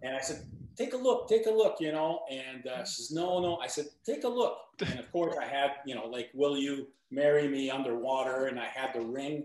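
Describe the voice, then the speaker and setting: With lively intonation and a fairly high pitch, a man talks at a moderate pace over noticeable background noise. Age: 60s. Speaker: triathlete. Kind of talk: casual chat.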